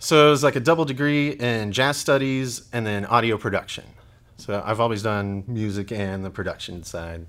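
An ordinary speaking voice, a man at medium pitch with an American accent, ordinary pitch variation and a moderate pace. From Oklahoma and Texas. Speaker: high school band director. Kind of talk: casual interview.

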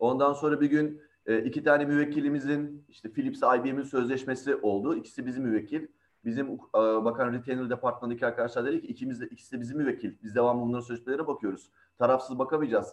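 Talking at a very fast pace, a man keeps his medium-pitched voice in fairly even intonation. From Izmir, Turkey. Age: 40s. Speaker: in-house lawyer. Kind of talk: panel talk.

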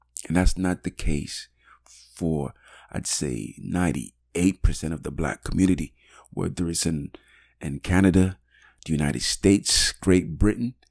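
A man with a very deep, low pitch and vocal fry speaks in an animated tone at a moderate pace, with ordinary pitch variation and long, frequent pauses. The recording is very clean and dry, close with no echo and a silent background. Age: 40s. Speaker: podcast host. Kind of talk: solo monologue podcast. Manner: halting, many fillers.

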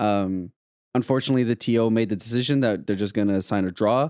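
Dark and mellow in tone, a man's fairly low voice moves at a fairly quick pace with ordinary pitch variation. The recording is very clean and silent in the background, dry and close with no echo. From Canada. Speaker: card game content creator and podcast host. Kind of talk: casual chat.

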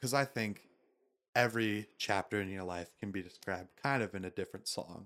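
Fairly low in pitch with an unremarkable speaking voice, a man with an American accent speaks at a fairly quick pace in a very clean recording with a silent background. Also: ordinary pitch variation. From Florida (Tallahassee). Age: 20s. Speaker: podcast host. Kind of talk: casual chat.

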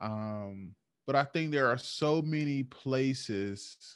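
Against a quiet background, a man talks at a very slow pace with a medium pitch and ordinary pitch variation. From United States. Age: 20s. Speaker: podcast co-host. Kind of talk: casual chat.

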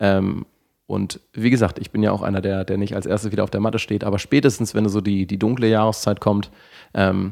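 With a fairly low pitch and a flat, monotone delivery, a man speaks on a very clean recording over a silent background. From northern Germany. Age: 30s. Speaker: sports scientist and fitness studio manager. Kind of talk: casual interview conversation. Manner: halting, many fillers and restarts.

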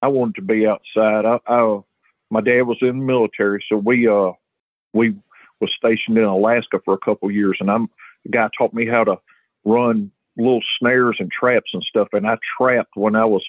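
The speech moves at a fairly quick pace in a flat monotone, with very even loudness. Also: man, medium pitch for a man. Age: 40s. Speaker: high school fishing tournament director. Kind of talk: interview.

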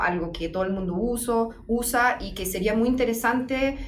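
A woman speaks with a fairly high pitch. Room echo is audible, and there is noticeable background noise. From Germany. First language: German (speaking Spanish). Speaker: legal researcher. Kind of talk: interview. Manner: halting.

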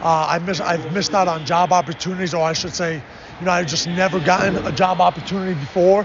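Over noticeable background noise, a man with an American accent talks at a very fast pace, his high pitch following a fairly even intonation. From Chicago, US Midwest. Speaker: basketball coach. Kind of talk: interview. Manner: halting, many fillers.

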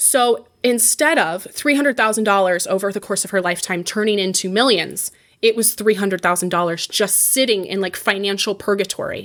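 A plain, everyday voice from a woman at medium pitch, fairly quick with hardly any pauses, ordinary pitch variation, and a very clean recording with a silent background. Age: 20s. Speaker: personal finance entrepreneur. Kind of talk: interview.

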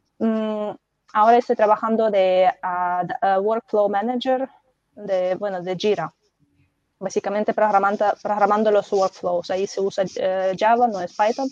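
In a dry, close sound with no echo, a woman speaks at a moderate pace and medium pitch with fairly even intonation. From Belarus. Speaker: data professional, former English teacher. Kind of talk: casual panel chat. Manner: halting, many fillers.

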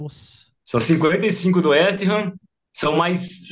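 A man talks at a high pitch. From interior of São Paulo state, Brazil. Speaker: football fan, shirt collector. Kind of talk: casual chat.

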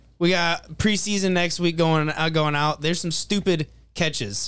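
This man has an ordinary speaking voice, fairly high in pitch. He talks at a moderate pace. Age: 20s. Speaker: podcast co-host. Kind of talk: casual chat.

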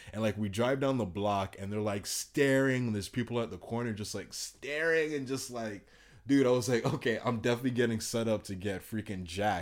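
With an animated tone, a man speaks at a fairly quick pace, medium pitch and ordinary pitch variation in a very clean recording with a silent background. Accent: Miami. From Miami. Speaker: traveler. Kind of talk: casual chat.

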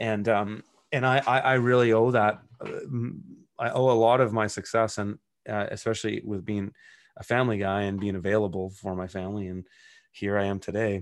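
A man with a Western Canadian accent, fairly even intonation and a fairly quick pace. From Canada, British Columbia (Kelowna). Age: 40s. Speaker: urban farmer and author. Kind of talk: casual interview chat.

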